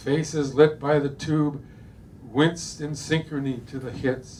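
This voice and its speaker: A man's somewhat breathy, fairly high-pitched voice at a very slow pace, in a monotone, flat intonation. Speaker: poet reading his own work, neurologist. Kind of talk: poetry reading. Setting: bookstore reading.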